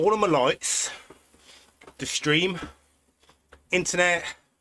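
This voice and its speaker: With a British accent, a man speaks at a fairly slow pace in a bright, sharp tone. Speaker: cycling streamer. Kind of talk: live stream commentary while riding. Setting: indoors on turbo trainer. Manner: casual, chatty.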